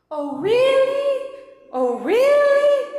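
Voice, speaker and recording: In a put-on character voice, a woman squeaks at an extremely high pitch, with a clear echo around her. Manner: interested, curious.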